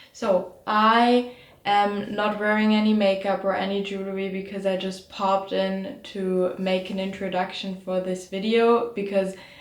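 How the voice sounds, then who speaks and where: A woman speaks at a moderate pace in a medium pitch, her intonation monotone and flat, with audible room echo around her. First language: not English. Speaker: psychology student and video creator. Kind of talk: casual educational monologue. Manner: halting, with self-corrections.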